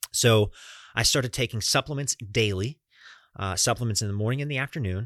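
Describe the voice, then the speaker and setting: Medium-pitched and in an American accent, a man talks with ordinary pitch variation. The sound is dry and close with no echo, in a very clean recording with a silent background. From US South, Florida and Atlanta, Georgia. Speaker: podcast host. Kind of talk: solo monologue.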